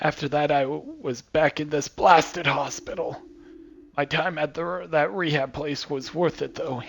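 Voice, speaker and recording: Using a put-on character voice, a man talks at a moderate pace in a fairly high, raspy pitch with fairly even intonation. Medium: game stream. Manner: cantankerous, grumbling.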